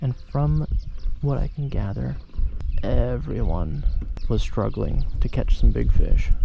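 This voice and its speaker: A man whispering at a fairly slow pace, with noticeable background noise. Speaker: fishing vlogger. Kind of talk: casual vlog narration. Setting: outdoors on a kayak at a lake.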